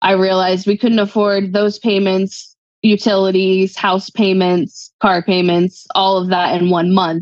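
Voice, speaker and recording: Against a quiet background with dry sound and no echo, a woman speaks fairly slowly at a medium pitch, monotone and flat, her loudness very even. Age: 30s. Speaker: guest seeking money advice; guest. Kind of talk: personal money coaching conversation. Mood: candid, sometimes rueful. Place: home room. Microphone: video call.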